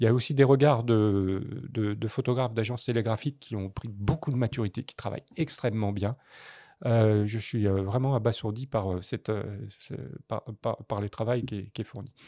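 A man's medium-pitched voice, dark and mellow in tone, at a moderate pace with ordinary pitch variation and big swings in loudness, the sound dry and close with no echo in a very clean recording with a silent background. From France, Paris. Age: 60s. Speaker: photojournalist. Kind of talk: interview conversation.

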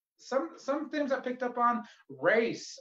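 In an American accent, a man talks with a quiet background behind him. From Phoenix, Arizona. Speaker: comedian and open mic host. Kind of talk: casual hosting banter. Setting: video call. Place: home room. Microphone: handheld.

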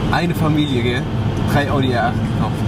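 A man speaks with music playing behind him. The sound is dry, with no echo. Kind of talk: casual vlog chat. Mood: amused, storytelling. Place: car. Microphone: phone near.

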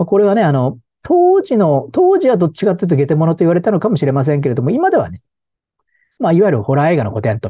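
With very wide pitch swings, a man talks at a very fast pace in a dark, mellow, somewhat breathy voice, the sound dry with no echo and the background quiet. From Japan, Tokyo. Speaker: film commentator and professor; film commentator. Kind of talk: solo video commentary. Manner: casual with many fillers and hesitations. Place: home room. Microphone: lapel.

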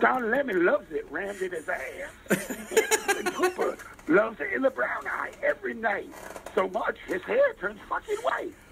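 Noticeable noise sits behind a man speaking at a moderate pace. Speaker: public caller. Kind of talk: comedic call-in banter and improvised rap.

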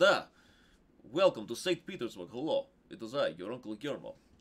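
A man puts on a gruff character voice in a Russian accent, pitched fairly high and moving at a fairly quick pace.

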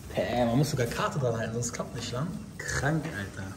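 A fairly quick delivery with audible room echo and noticeable background noise. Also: man. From Germany, North Rhine-Westphalia (Langenfeld). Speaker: YouTuber vlogger. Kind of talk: casual vlog. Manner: animated.

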